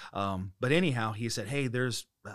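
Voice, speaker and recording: A man's normal speaking voice, medium in pitch, on a very clean recording with a silent background. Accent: American. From US Midwest (Dayton, Ohio). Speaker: pastor. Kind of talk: casual interview.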